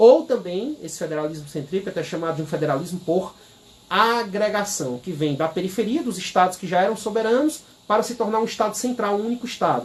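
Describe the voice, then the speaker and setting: A man with a high voice, lively intonation and a fairly quick pace, over noticeable background noise. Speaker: law professor. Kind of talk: lecture. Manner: fast.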